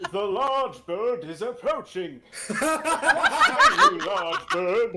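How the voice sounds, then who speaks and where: Very slowly, a man speaks in a put-on character voice. His pitch sits extremely high. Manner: silly, exaggerated.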